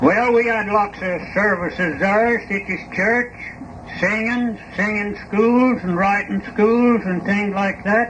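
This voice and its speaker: With a Southern Appalachian accent, a man speaks very slowly in a high voice with fairly even intonation. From East Tennessee mountains. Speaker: farmer and coffin maker. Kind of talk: interview answer.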